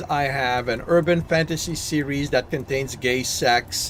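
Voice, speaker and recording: Noticeable background noise surrounds the speaker. A man with a French Canadian accent talks at a very slow pace. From Quebec. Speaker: gaming streamer and novelist. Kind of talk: casual gameplay chat. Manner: halting.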